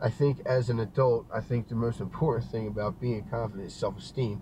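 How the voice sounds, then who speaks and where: Somewhat breathy, a man with a Philadelphia accent speaks at a medium pitch and moderate pace with ordinary pitch variation. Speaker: guest. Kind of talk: casual chat. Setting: video call.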